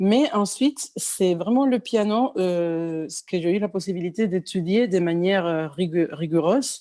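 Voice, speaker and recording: At a fairly slow pace and with hardly any pauses, a woman of medium pitch speaks in a dark, mellow tone with lively intonation. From Cuba. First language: Spanish (speaking French). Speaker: pianist and singer. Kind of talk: interview. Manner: halting, many fillers and restarts.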